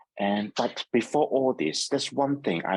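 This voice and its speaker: A man with a Hong Kong accent speaks at a moderate pace, with vocal fry in his voice. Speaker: neurologist. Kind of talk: seminar talk with slides. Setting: video call.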